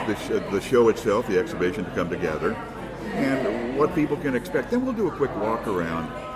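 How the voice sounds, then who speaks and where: At a moderate pace, a man talks with very wide swings in pitch over noticeable background noise. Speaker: podcast interviewer. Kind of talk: interview questions.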